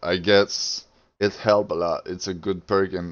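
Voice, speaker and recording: Speaking at a fairly slow pace, a man with a non-native accent uses monotone, flat intonation. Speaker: video game player. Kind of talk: casual gaming tutorial talk.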